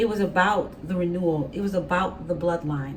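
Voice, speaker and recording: The room has an audible echo. Background noise is noticeable too. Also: woman. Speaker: tarot reader. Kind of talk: tarot reading. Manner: casual, conversational; halting, self-described stuttering.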